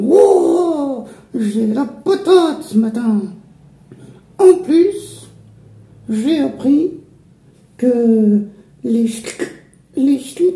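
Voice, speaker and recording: A man speaks in a cartoonish character voice pitched extremely high, moving at a very slow pace with long, frequent pauses. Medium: puppet. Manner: upbeat.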